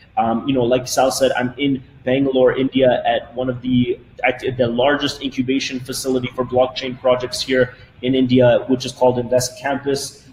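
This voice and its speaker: Monotone, flat intonation from a man, with noticeable background noise behind. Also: medium pitch for a man. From Canada, Toronto. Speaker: company CEO. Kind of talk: webinar presentation. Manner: fast.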